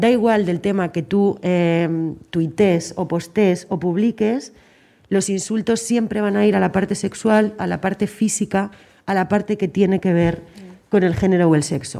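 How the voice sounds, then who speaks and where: Her tone is dark and mellow, with medium pitch for a woman. She speaks at a fairly slow pace with ordinary pitch variation. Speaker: journalist. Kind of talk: panel debate.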